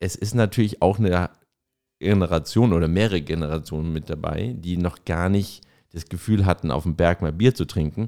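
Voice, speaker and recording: With a Franconian accent, a man speaks in a very deep, low pitch with a dark, mellow tone and ordinary pitch variation. His moderate pace comes through on a very clean recording with a silent background. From Franconia, Erlangen. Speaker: podcast co-host, marketer. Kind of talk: casual chat.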